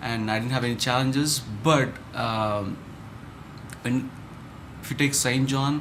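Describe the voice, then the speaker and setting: The speech has long, frequent pauses. Noticeable background noise and audible room echo fill the recording. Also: man, medium pitch for a man, fairly even intonation, fairly slow pace. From India, Chennai. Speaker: startup founder. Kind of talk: interview. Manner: halting, many fillers.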